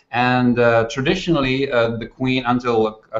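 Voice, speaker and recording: A man speaks with a Dutch accent. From Netherlands. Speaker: management author. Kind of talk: interview conversation. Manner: halting.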